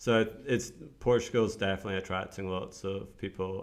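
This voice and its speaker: A man with a fairly low pitch and a Scottish accent. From Scotland, Edinburgh. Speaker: entrepreneur, newsletter writer. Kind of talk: casual chat. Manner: hesitant, many fillers.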